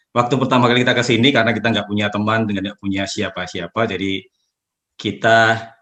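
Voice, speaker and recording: In a Javanese accent, the speaker delivers a bright, sharp tone with fairly even intonation against a quiet background. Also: man. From Java, Yogyakarta. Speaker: community leader. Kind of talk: interview. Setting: video call.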